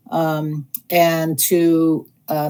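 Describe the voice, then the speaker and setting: Dark, mellow tone from a woman with a very deep, low pitch. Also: very clean recording, silent background. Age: 60s. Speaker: electric car owner. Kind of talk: Q&A panel.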